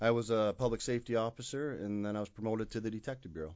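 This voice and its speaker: This man's pitch sits in the medium range. His intonation stays fairly even. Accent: Upper Midwest. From Michigan, Kalamazoo. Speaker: university police chief. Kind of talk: interview. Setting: studio.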